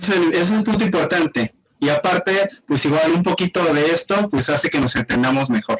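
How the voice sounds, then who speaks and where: A high-pitched man with a central Mexican accent, lively intonation and very even loudness at a moderate pace. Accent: central Mexican, sing-song. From central Mexico. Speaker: podcast host. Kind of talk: casual podcast interview.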